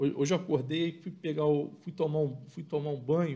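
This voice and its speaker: A man's dark, mellow tone comes through at a fairly quick clip, with only a quiet background behind him. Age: 40s. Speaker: football podcast co-host. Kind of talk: live match analysis chat.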